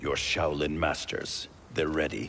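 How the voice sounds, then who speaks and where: A man puts on a character voice with very deep, low pitch at a fairly slow pace, and background noise comes through clearly. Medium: video game. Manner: stern, distrustful.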